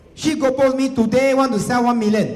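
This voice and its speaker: Noticeable background noise and audible room echo surround a man with a Singaporean accent. He speaks at a fairly quick pace in an animated tone. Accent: Singaporean English (Singlish). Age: 40s. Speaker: real estate agency leader giving seminar. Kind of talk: seminar presentation to live audience. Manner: animated, repetitive emphasis.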